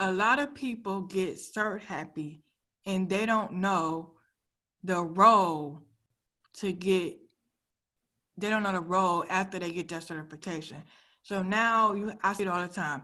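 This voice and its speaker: A woman speaks fairly slowly at a medium pitch with ordinary pitch variation and a bright, sharp tone. She leaves long, frequent pauses against a quiet background. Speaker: cybersecurity career coach presenting at a conference. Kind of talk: conference presentation.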